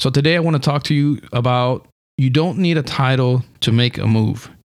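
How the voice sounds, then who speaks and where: At a fairly slow pace, a man speaks in a normal speaking voice at medium pitch with ordinary pitch variation. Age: 30s. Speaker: podcast host and preacher. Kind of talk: solo motivational podcast monologue. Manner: earnest, encouraging.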